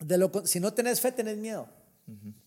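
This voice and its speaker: This man talks at a moderate pace. His tone is dark and mellow. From Guatemala. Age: 50s. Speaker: entrepreneur and pastor. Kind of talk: interview. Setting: at his home.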